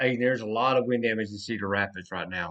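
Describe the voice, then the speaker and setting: Medium-pitched man's voice in a Southern US accent, with ordinary pitch variation. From US South. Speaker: severe weather livestreamer. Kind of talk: live weather commentary. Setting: livestream. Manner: casual, self-correcting.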